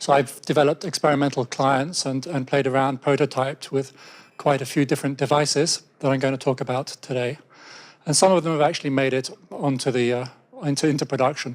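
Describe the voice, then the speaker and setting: With an English accent, a man talks at a fairly quick pace, his fairly high voice flat and monotone. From England. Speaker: software developer. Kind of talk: conference talk. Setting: stage with audience. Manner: hesitant with fillers.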